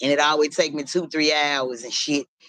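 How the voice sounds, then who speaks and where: A loud woman with a very deep, low pitch talks at a fairly quick pace in a bright, sharp tone with fairly even intonation. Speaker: livestreamer. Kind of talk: casual chat. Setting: live stream.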